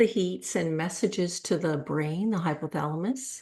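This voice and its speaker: Her delivery is fairly slow, a woman in a normal speaking voice with ordinary pitch variation. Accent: American. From United States. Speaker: doctor and researcher. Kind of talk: podcast interview.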